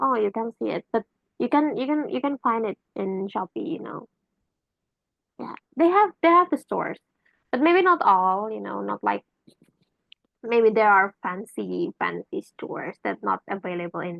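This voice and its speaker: In an Indonesian accent, a woman speaks at a moderate pace, with big swings in loudness and long, frequent pauses. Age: 20s. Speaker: university student. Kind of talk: exam answer explanation, casual. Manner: halting, many fillers; chatty, animated.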